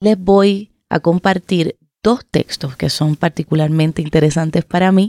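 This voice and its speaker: A woman speaks at a fairly slow pace with a dark, mellow tone, fairly low pitch, ordinary pitch variation and very even loudness, in a dry, close sound with no echo. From Puerto Rico. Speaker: writer and poet. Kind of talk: author introduction to a reading.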